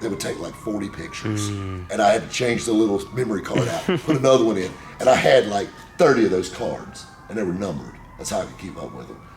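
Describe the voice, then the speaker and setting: Over background music, a man with an American accent and a fairly low voice talks at a very fast pace. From South Carolina, USA. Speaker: car dealer and radio show host. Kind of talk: interview answer.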